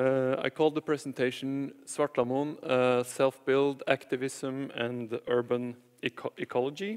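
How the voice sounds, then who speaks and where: Over noticeable background noise, a man with a Norwegian accent speaks at a medium pitch and a fairly slow pace, with fairly even intonation, hardly any pauses, and a dry, close sound with no echo. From Norway, Nordmøre (Batnfjorden). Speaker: architect. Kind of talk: conference presentation. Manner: halting, many fillers and repetitions.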